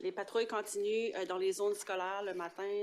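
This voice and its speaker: In an Acadian accent, a woman with a medium-pitched voice speaks at a moderate pace with fairly even intonation. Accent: Acadian French accent, noticeable. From northeastern New Brunswick (Acadian), Paquetville. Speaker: police sergeant. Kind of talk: council meeting report. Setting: municipal council meeting. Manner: halting, many hesitations.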